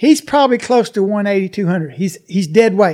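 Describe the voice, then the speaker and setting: In an Arkansas accent, a man speaks at a fairly quick pace with a high pitch and ordinary pitch variation. The recording is very clean with a silent background. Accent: Southern US (Arkansas). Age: 60s. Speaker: alligator farm operator. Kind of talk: interview.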